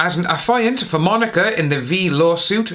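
A man talks at a fairly slow pace, his fairly high voice fairly bright in tone and full of big pitch swings.

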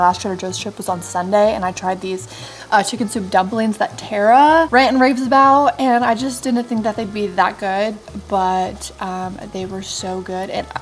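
A woman speaks with ordinary pitch variation. Faint music plays behind her. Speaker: vlogger. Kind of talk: casual vlog chat. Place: kitchen. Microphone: phone near.

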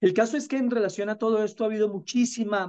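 The speaker is a man. The background is quiet. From Colombia. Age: 50s. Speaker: spiritual teacher. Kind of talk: interview. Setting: video call. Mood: calm, earnest. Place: home room. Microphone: video call.

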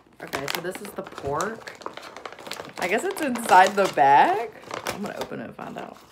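Pausing long and often, a woman speaks with very wide pitch swings and big swings in loudness over noticeable background noise. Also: moderate pace. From US South. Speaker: YouTuber. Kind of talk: unboxing vlog. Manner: casual, rambling. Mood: light, playful, some disgust. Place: home room. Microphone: phone near.

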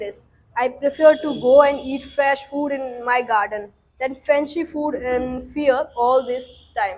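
At a fairly slow pace, a woman talks at a high pitch with fairly even intonation. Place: classroom.

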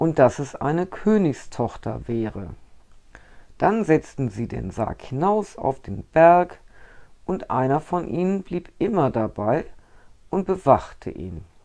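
Very slow speech from a woman with a very deep, low pitch, a dark, mellow tone and vocal fry, very wide pitch swings, big shifts in loudness, long, frequent pauses and a quiet background. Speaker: storyteller. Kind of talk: reading a fairy tale aloud. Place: home room.

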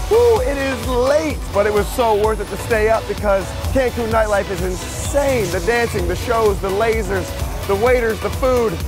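Music can be heard in the background. The speech comes at a moderate pace, with a dry sound and no echo. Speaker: travel host. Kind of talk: casual vlog chat. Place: bar.

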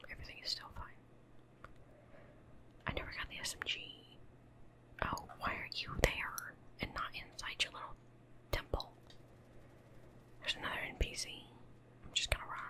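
Whispering in a relaxed tone, a woman leaves long, frequent pauses over noticeable background noise. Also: moderate pace, big swings in loudness. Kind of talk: ASMR gaming commentary. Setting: home studio, desk mic. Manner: whispered; soft-spoken, relaxed.

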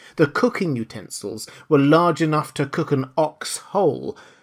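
A man with a normal speaking voice talks at a moderate pace. His pitch is fairly high, with lively intonation. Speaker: audiobook narrator. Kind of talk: dramatic audiobook narration. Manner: gripping, theatrical storytelling with suspenseful pacing; formal.

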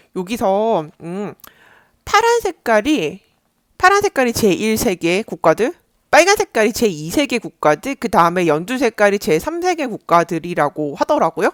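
Speech unfolds at a very slow pace. Nothing but silence sits behind the voice on this very clean recording. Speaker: YouTuber reading foreign news. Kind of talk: casual solo commentary. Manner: rambling with fillers and hesitations.

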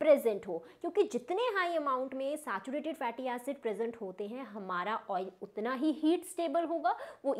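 A high-pitched woman at a fairly slow pace, with very wide pitch swings and a quiet background. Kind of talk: tutorial. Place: home room. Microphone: lapel.

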